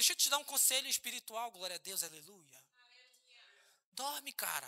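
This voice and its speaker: An extremely high-pitched man with a bright, sharp, animated tone, very wide pitch swings and a moderate pace, in a dry, close sound with no echo. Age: 30s. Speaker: pastor. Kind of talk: sermon. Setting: church.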